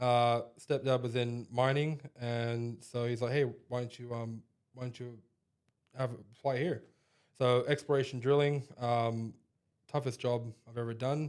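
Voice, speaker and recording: A man with an American accent talks at a medium pitch in a monotone, flat intonation. He leaves long, frequent pauses. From Australia, then western US from age 14. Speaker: equipment trainer. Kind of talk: podcast interview. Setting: company head office, in person.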